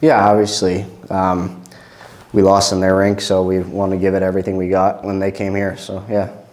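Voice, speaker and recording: A man with a fairly low pitch speaks at a moderate pace in a monotone, flat delivery, with noticeable background noise and audible room echo. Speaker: junior hockey player. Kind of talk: postgame interview.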